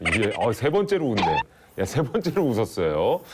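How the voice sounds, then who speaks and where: Medium-pitched male voice with very wide pitch swings, over noticeable background noise. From Daejeon, Chungcheong region, Korea. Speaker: TV show host. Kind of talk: studio talk show interview. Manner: animated.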